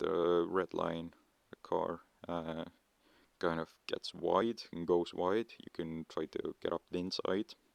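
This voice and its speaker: A man speaks quietly at a fairly slow pace. The sound is dry and close, with no echo. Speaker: mobile racing game tutorial maker. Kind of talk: game tutorial voice-over. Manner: hesitant, many filler words.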